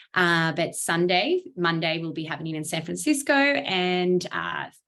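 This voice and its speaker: With a strong Australian accent, a woman speaks at a fairly low pitch and a fairly slow pace, her tone bright and sharp and her intonation lively. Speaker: startup accelerator program lead. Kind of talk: online briefing presentation.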